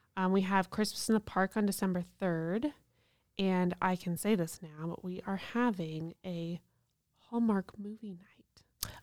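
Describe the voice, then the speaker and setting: A woman with an ordinary speaking voice talks at a fairly slow pace, medium in pitch and fairly even in intonation. The recording is very clean, with a silent background and a dry, close sound with no echo. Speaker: downtown main street director. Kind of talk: interview.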